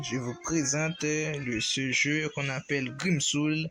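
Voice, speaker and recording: A man with a non-native accent talks at a very slow pace, his pitch fairly high with ordinary variation. Music plays in the background. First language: not French (speaking French). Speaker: gaming YouTuber. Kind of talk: gameplay tutorial. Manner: halting.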